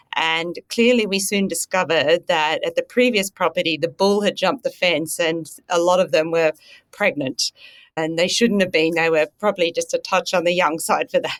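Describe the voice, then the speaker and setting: A woman speaks with an Australian accent in a fairly low voice. The sound is dry and close with no echo, very clean, with a silent background. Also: ordinary pitch variation, moderate pace. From rural Australia. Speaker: veterinary scientist. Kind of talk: casual interview.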